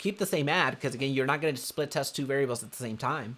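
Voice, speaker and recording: A man's voice, fairly high in pitch. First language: Spanish. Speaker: real estate marketing coach. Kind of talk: live webinar tutorial. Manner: animated.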